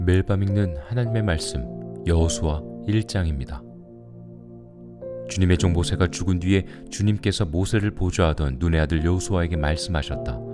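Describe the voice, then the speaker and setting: Music plays behind a man with a very deep, low voice. He speaks at a moderate pace with lively intonation and very even loudness. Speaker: pastor. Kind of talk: scripture reading for sleep.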